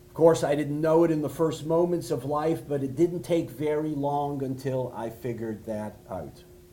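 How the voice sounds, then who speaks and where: With noticeable background noise behind him, a man speaks at a moderate pace and fairly high pitch with ordinary pitch variation and hardly any pauses. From Canada, Montreal. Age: 60s. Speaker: rabbi, speaker. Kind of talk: talk. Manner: halting. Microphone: no microphone.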